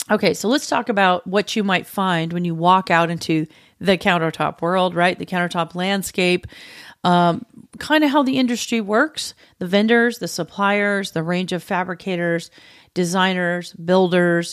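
A very clean recording with a silent background, at a moderate pace and with ordinary pitch variation. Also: woman, medium pitch for a woman. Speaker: podcast host and cabinet maker. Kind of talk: casual solo tutorial. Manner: animated.

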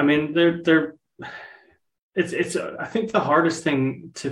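A somewhat breathy man's voice with fairly even intonation. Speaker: marketing and events manager. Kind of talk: casual interview chat.

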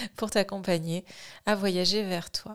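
In a very clean recording with a silent background, a woman speaks very slowly at a medium pitch with fairly even intonation. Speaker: sophrologist and podcast host. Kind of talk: casual self-introduction monologue. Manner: hesitant, many fillers.

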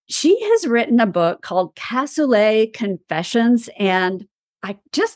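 A woman with an East Texas accent talks at a fairly slow pace with lively intonation. Her pitch is fairly high, and the sound is dry and close with no echo. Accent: East Texas Southern US. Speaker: podcast host. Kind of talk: interview. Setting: video call.

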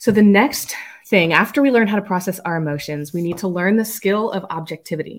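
With a medium pitch and ordinary pitch variation, a woman talks at a fairly quick pace. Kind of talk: solo podcast monologue. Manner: fast; laughs often.

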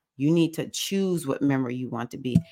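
A woman speaks in a very deep, low pitch. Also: very clean recording, silent background. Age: 50s. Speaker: spiritual coach. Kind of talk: solo talk to camera.

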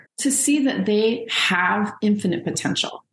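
Somewhat breathy, a woman talks at a fairly slow pace with medium pitch and ordinary pitch variation. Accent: American. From Los Angeles, US. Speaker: sociology professor and author. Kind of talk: interview conversation.

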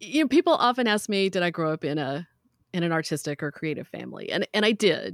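A woman's lively intonation with a slight Southern US accent, on a very clean recording with a silent background. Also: dry, close sound with no echo. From US South. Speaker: metalsmith and teacher. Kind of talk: casual interview.

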